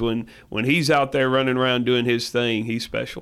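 With a Tennessee accent, a man talks fairly quickly at a medium pitch. His intonation stays monotone and flat. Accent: Southern US (Tennessee). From West Tennessee. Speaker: high school football head coach. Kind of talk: radio interview. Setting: radio show. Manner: halting, many fillers.

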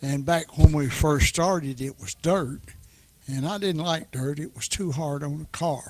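This man speaks with a Tennessee accent at a fairly slow pace. His pitch is fairly high, with ordinary variation. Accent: Southern US (Tennessee). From Middle Tennessee, US South. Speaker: retired racing enthusiast. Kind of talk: casual chat.

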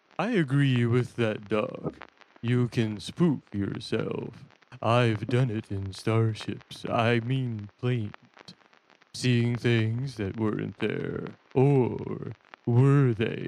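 The speech moves at a very slow pace with fairly even intonation. Long pauses come often. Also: man, medium pitch for a man. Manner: casual, confident.

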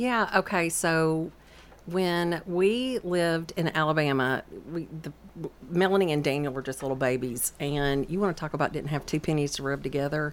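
In a Southern US accent, a woman talks at a moderate pace with a very deep, low pitch and ordinary pitch variation. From Georgia, Atlanta area. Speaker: realtor and cookbook author. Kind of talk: radio interview. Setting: radio studio.

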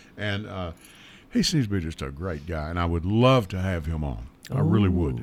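This man has a very deep, low voice with a Southern US accent. He talks at a moderate pace with lively intonation. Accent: US South (Tennessee). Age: 60s. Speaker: radio talk show host. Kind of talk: casual talk radio chat. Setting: radio studio.

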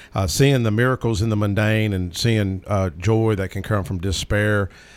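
A man talks at a fairly quick pace in a Southern US accent. The recording is very clean, with a silent background. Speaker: state legislator. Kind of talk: casual radio talk. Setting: radio studio.

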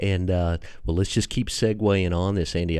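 A man speaks with a Tennessee accent at a fairly quick pace. His pitch is very deep and low, and his tone is dark and mellow. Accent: Southern US, Tennessee. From Tennessee, US. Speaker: podcast host. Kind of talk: casual podcast interview. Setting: radio studio.

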